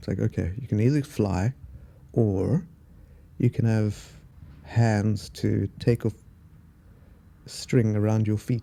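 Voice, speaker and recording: Speaking at a very slow pace, a man with a South African accent has a medium pitch and a dark, mellow tone. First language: Afrikaans. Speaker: podcaster. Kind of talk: casual solo monologue. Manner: halting, many fillers and pauses.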